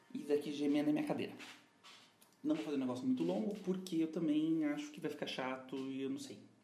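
Talking at a very fast pace with very wide pitch swings, a man is heard over noticeable background noise and audible room echo. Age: 20s. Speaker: podcast host. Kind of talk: casual monologue.

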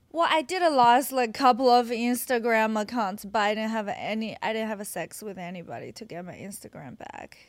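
Speaking at a fairly quick pace with a Chinese accent, this voice barely pauses and swings widely in loudness. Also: woman, fairly high pitch for a woman. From China, Qingdao. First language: Mandarin Chinese. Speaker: adult content creator. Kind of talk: casual chat. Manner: giggly.

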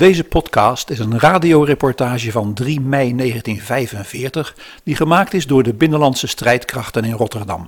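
The voice is somewhat breathy with ordinary pitch variation, going at a fairly slow pace with hardly any pauses on a very clean recording with a silent background. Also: man, medium pitch for a man. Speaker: narrator of the historical podcast. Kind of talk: scripted narration.

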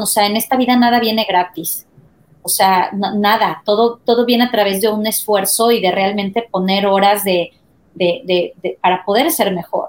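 A woman talks at a moderate pace in an ordinary speaking voice. Her pitch is fairly high and varies in an ordinary way. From Mexico. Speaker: marketing and advertising executive. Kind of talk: interview.

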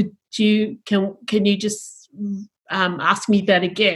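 Somewhat breathy, a woman's voice sits mid-range in pitch. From Sydney, western suburbs (Tongan-born, arrived age 9). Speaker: university chaplain and deacon. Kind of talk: panel conversation.

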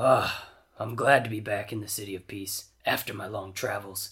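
A man's gruff, raspy put-on character voice, fairly low in pitch, at a moderate pace. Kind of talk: comic overacting. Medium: read story. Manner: jovial, poetic, booming laughter.

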